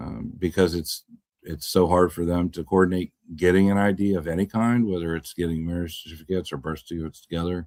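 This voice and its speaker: Speaking very fast with fairly even intonation, a man's very deep, low voice comes through on a very clean recording with a silent background. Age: 60s. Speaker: live-stream chat host. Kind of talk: casual live-stream chat answering viewer questions. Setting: live stream, camera off. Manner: rambling, conversational with hesitations.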